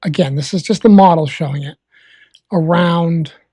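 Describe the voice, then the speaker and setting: A woman with a Massachusetts accent speaks in a fairly low, somewhat breathy voice with a dark, mellow tone and lively intonation. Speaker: live weather streamer. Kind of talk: live weather commentary. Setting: live stream. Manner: calm.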